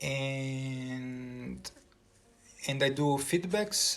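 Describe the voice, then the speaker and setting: In a Portuguese accent, a man talks at a very slow pace. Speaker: composer and music teacher. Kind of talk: casual vlog talk. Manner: halting, many repetitions and fillers.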